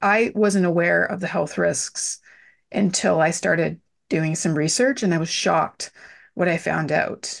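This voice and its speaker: In a quiet background, a woman with a fairly low pitch and vocal fry speaks at a fairly slow pace with ordinary pitch variation. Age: 40s. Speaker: business and well-being mentor. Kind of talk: interview.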